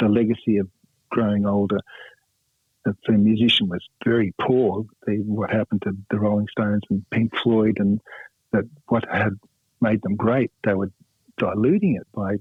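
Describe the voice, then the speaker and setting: Speaking with an Australian accent, a man has a fairly low pitch and a monotone, flat intonation. His pace is moderate, broken by long, frequent pauses. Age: 60s. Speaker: rock guitarist. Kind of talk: radio interview. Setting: phone call. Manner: halting, many fillers.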